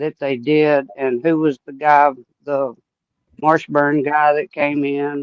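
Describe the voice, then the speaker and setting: A man with a fairly high voice and a fairly slow pace. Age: 70s. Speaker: longtime follower of a missing child case. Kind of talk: casual chat.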